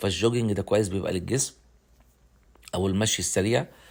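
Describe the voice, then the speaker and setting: A man talks at a fairly quick pace in an Egyptian accent. His pitch variation is ordinary. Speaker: travel vlogger. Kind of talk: travel vlog narration. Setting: outdoors. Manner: halting.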